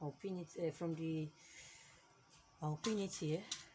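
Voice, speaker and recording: A woman speaks with a non-native accent at a fairly slow pace. Her voice is somewhat breathy and fairly low in pitch. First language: not English. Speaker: fashion tutorial maker. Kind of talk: tutorial.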